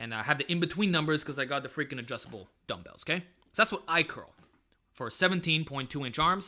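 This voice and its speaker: At a very fast pace, a man with a fairly high pitch sounds energetic, his tone bright and sharp, his intonation lively and his loudness swinging widely. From Montreal East End, Quebec. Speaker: fitness YouTuber, bodybuilder. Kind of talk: live stream Q&A. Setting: live stream. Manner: casual, energetic.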